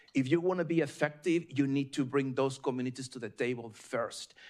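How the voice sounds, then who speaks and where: At a moderate pace, a man talks with a slight Mexican accent. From Mexico. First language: Spanish. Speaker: state environmental official, panelist. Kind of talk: panel discussion. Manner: hesitant fillers, repeats words.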